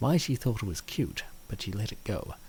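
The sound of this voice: A man speaks at a moderate pace with lively intonation. His voice has a slightly mellow tone and vocal fry.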